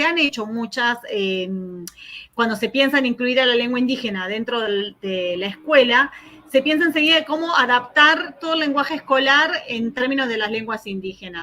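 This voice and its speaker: High-pitched woman's voice with lively intonation. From Argentina. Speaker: academic researcher, keynote speaker. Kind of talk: conference Q&A answer. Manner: fast; hesitant, many fillers.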